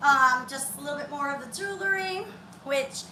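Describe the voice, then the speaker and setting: In an American accent, a woman with a high pitch uses a raised, projected voice at a moderate pace, with audible room echo and noticeable background noise. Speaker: fitness instructor. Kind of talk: workout tutorial. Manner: loud.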